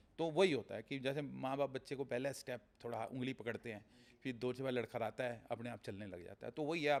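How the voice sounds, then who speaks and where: This man has an unremarkable speaking voice. It sits at a medium pitch, and his pitch variation is ordinary. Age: 60s. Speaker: real estate businessman. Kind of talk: podcast interview.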